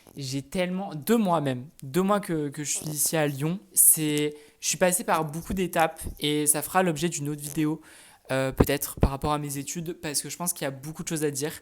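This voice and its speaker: A man's normal speaking voice, fairly high in pitch, at a fairly quick pace with fairly even intonation. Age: 20s. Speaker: student vlogger. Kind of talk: casual vlog. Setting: at home in apartment.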